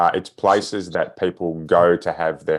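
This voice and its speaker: In an Australian accent, a man speaks at a moderate pace with a very deep, low pitch. His intonation stays fairly even against a quiet background. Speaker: sales trainer. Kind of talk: podcast interview.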